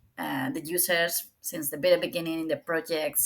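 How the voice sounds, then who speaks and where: A fairly low-pitched woman's voice in a Spanish accent, at a fairly quick pace with ordinary pitch variation. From Spain. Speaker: data visualization professional. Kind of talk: podcast interview. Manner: halting.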